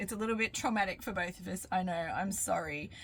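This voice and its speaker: A woman talks in an Australian accent with a bright, sharp tone and ordinary pitch variation. The recording is very clean with a silent background. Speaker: cooking vlogger. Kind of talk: cooking tutorial. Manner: casual, chatty.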